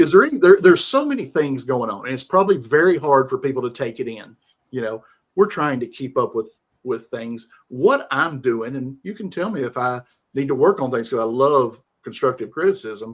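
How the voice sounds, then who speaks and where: A man speaks in a Southern US accent, his pitch fairly high. He talks at a fairly quick pace with lively intonation and big swings in loudness. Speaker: live stream host. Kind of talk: casual interview chat. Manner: calm, rhythmic.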